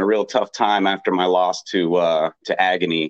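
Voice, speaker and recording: A man speaks at a moderate pace with an American accent. He has an unremarkable speaking voice with fairly low pitch. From Texas. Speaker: professional wrestler. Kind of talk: casual interview.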